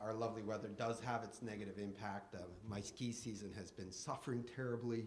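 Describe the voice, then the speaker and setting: A man with a Canadian accent speaks at a medium pitch with fairly even intonation. There is audible echo from the room. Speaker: insurance broker. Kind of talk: conference presentation.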